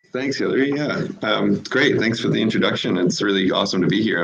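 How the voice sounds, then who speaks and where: A man with a Canadian accent, fairly quick and lively in intonation, over noticeable background noise. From Canada. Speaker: marketing executive. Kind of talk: podcast interview. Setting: live video stream.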